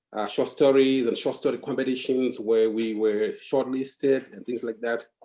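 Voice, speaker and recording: In a Zimbabwean accent, a man speaks at a moderate pace and medium pitch with a dark, mellow tone, fairly even intonation and big swings in loudness. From Zimbabwe, Bulawayo. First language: Ndebele. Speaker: novelist. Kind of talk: interview.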